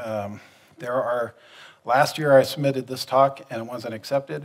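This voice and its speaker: A man talks at a moderate pace in a quiet background. His pitch varies an ordinary amount. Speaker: conference presenter. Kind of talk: conference talk. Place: hall.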